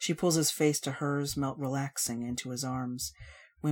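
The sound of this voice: Fairly even in intonation, this is an unforced reading voice.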